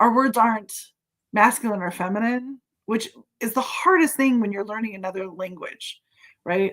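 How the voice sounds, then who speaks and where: Using an animated tone, a woman with a West Coast US accent speaks at a moderate pace and fairly high pitch, with ordinary pitch variation and long, frequent pauses. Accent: General American (West Coast). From California, US. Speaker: live streamer. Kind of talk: casual chat. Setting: live stream video call.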